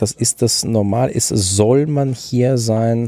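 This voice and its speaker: A man's ordinary speaking voice, pitched in the middle, its intonation fairly even. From southwestern Germany, Freiburg im Breisgau. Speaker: teacher. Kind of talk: casual chat.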